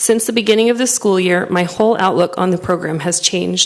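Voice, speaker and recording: Over noticeable background noise, a soft-spoken woman talks at a fairly quick pace. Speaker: parent giving public comment. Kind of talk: public comment read from prepared statement. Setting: school board meeting room.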